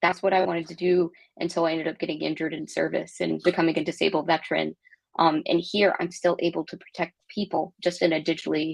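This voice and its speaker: A woman talks very fast in an American accent, her pitch fairly low. Her delivery is monotone and flat, with vocal fry. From Texas. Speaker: tech product executive, Navy veteran. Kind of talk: interview.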